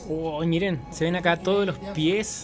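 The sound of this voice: Clear music plays in the background as a man with a fairly high pitch talks at a fairly slow pace with fairly even intonation.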